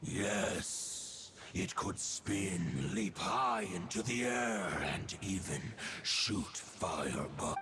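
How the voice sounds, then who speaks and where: A man in a put-on character voice speaks very slowly and solemnly at a fairly low pitch. Clear background noise is heard. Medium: video game. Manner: archaic, formal and solemn.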